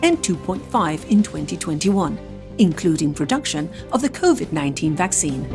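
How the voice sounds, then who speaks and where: A woman with a British accent speaks at a fairly quick pace. Music plays in the background. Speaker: voice-over artist. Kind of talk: corporate narration.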